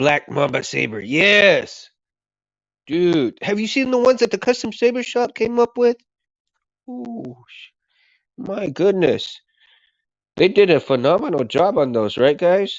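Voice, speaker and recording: Speaking very slowly with long, frequent pauses, a man uses a high pitch that swings very widely. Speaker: livestreamer. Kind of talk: casual chat. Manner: halting.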